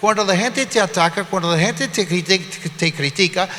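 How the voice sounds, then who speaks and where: The voice is raised and projected outward. Noticeable noise sits in the background. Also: man. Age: 60s. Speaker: pastor. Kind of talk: sermon.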